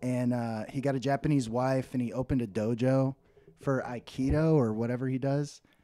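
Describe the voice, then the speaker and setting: A man speaks at a fairly quick pace with an American accent, his pitch medium and his intonation fairly even. It is a normal speaking voice. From Texas (Dallas); Texas. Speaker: comedy podcast co-host, actor. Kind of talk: casual chat. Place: home room. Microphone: studio mic.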